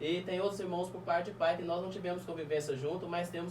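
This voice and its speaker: A high-pitched man at a very fast pace, with noticeable background noise and audible room echo. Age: 30s. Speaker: guest telling life story. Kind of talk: testimony.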